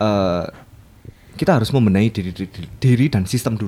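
The speaker is a man with a medium pitch. His tone is dark and mellow, and his pace is fairly quick. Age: 20s. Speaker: designer. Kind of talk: casual chat. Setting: studio.

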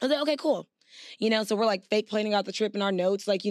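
A woman speaks in an animated tone. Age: 30s. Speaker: podcast co-host. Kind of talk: casual chat.

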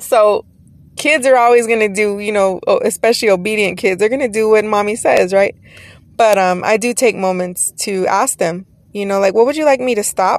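An animated woman with an American accent talks at a moderate pace, her fairly high pitch showing ordinary pitch variation. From Texas. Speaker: podcast host, entrepreneur and course teacher. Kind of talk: solo podcast monologue. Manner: animated, casual.

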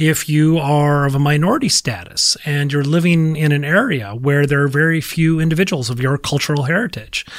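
Fairly quick and fairly high in pitch, a man with an American accent talks in an unremarkable speaking voice. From Minnesota. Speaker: marketing professor. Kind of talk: interview.

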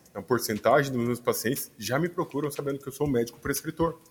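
Recorded very cleanly against a silent background, a man talks in a somewhat breathy voice at a fairly high pitch. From Brazil, Cuiabá, Mato Grosso. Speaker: physician. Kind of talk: interview.

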